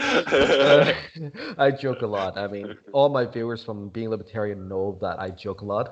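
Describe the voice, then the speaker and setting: The speaker has a normal speaking voice and ordinary pitch variation. The pace is moderate. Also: man. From Canada, small town near Vancouver. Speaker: libertarian group admin. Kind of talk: casual chat.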